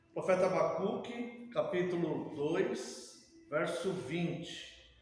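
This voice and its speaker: With audible room echo and noticeable background noise, a high-pitched man speaks very slowly with lively intonation. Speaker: pastor. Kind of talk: sermon-style Bible study.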